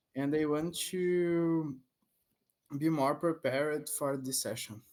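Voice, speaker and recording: This man has a Portuguese accent. He speaks very slowly. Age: 30s. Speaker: English learner, software developer intern. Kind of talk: language lesson conversation. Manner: halting.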